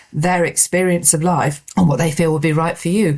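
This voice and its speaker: The woman's voice is somewhat breathy and fairly low. She speaks at a moderate pace. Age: 60s. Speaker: podcast host and executive coach. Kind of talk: solo podcast monologue. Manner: conversational.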